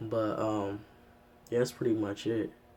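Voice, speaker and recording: Noticeable background noise sits behind this man's voice. His pitch is fairly low, his intonation fairly even, and his pace fairly slow. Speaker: vlogger sharing transition update. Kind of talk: casual vlog update. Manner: casual, filler-heavy.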